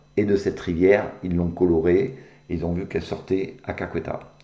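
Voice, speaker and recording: Fairly quick in pace, a man speaks at a fairly low pitch with a dark, mellow tone. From Béarn, southwest France. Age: 60s. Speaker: caver. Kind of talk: interview. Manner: halting, many fillers.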